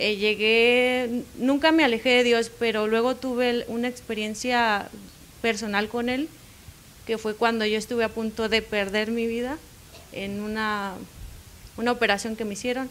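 This woman's voice sits at a fairly high pitch. She talks at a fairly slow pace with monotone, flat intonation. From Mexico, Baja California Sur. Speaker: pastor's wife. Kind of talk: interview.

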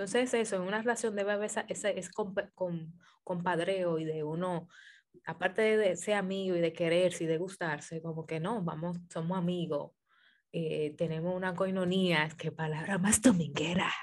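Her intonation stays fairly even as a woman speaks at a fairly slow pace. She has an ordinary speaking voice with a fairly low pitch. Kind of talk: casual chat.

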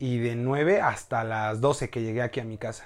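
A man talks with a medium pitch for a man. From Mexico, Hidalgo (Tulancingo). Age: 20s. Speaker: university communication student. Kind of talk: casual chat. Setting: host's home, filmed video podcast.

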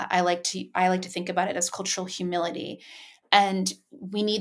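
A woman talks at a moderate pace with an American accent. Her pitch is medium, and her intonation stays fairly even. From Asia, largely Japan, with US parents. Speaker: mentoring organization founder. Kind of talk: interview. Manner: halting, many fillers.

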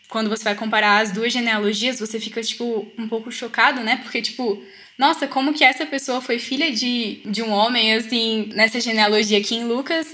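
Her pitch high and varying in an ordinary way, a woman speaks at a moderate pace. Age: young. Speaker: student, study group member. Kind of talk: casual Bible study discussion. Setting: video call.

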